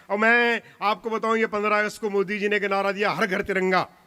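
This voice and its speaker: A man's raised, projected voice sits high in pitch, with a bright, sharp tone and a moderate pace. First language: Punjabi (speaking Hindi). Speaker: comic poet. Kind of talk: stage poetry and comedy performance. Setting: stage with audience.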